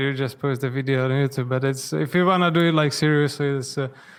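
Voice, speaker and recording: Speaking at a fairly quick pace, a man has a non-native accent. His pitch sits fairly high, with fairly even intonation. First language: not English. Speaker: freelance video editor, English learner. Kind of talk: online English lesson, casual chat. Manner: fast; quiet, mumbling.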